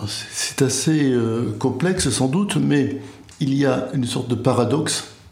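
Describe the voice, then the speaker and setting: With noticeable background noise and audible room echo, a man speaks at a very slow pace in a medium pitch with ordinary pitch variation. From France, Béarn. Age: 70s. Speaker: retired literature professor. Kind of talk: casual chat. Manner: slow, reflective.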